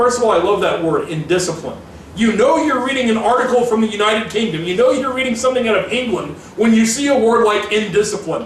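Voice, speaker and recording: A man's high-pitched voice at a very fast pace, with ordinary pitch variation and very even loudness, plus noticeable background noise and audible room echo. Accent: American. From Missouri, US. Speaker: political commentary podcaster. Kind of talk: political commentary. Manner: reads quotes aloud from articles.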